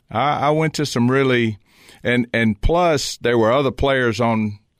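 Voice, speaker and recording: A man with a Southern US accent and a medium pitch speaks at a fairly slow pace, using ordinary pitch variation and very even loudness. The recording is very clean with a silent background, dry and close with no echo. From Virginia. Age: 60s. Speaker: business owner and former college football player. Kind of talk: casual interview. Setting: studio.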